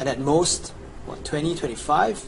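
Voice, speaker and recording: A man speaks with a Chinese accent at a moderate pace. Noticeable background noise runs under his voice. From China. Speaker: video game guide presenter. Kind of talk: sales pitch. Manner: animated.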